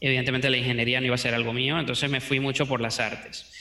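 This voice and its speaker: There is audible room echo around a man speaking at medium pitch. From Venezuela. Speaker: 3D modeling teacher. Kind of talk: interview.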